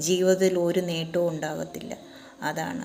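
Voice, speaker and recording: A woman speaks in a monotone, flat voice, with audible room echo and music in the background. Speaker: vlogger. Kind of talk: monologue.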